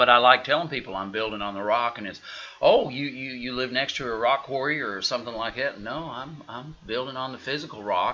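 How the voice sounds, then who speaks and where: A man with an Oklahoma accent talks at a fairly quick pace and medium pitch with ordinary pitch variation. His loudness swings widely, and there is noticeable background noise. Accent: Oklahoma rural. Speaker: pastor. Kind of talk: casual chat. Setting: live stream. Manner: animated.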